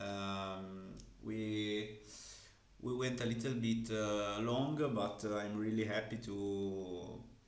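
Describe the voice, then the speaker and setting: With an Italian accent, a man speaks at a very slow pace in a fairly low, flat monotone, with audible room echo around him. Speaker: card game content creator. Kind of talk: interview. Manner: halting.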